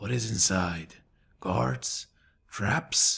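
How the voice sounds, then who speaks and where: A man's put-on character voice, fairly low, raspy and growling. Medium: read story. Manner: guarded, resentful.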